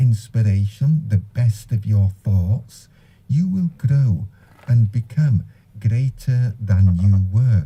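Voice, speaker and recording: A man's fairly low, somewhat breathy voice with a dark, mellow tone, at a very slow pace with lively intonation. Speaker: Islamic radio presenter. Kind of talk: religious talk on the Quran.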